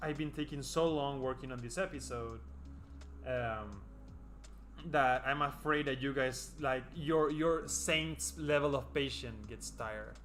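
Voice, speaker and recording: A man talks at a fairly slow pace. Music plays in the background, and the room echo is audible. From South America. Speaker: animator livestreaming their art. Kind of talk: casual livestream chat while drawing. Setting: livestream.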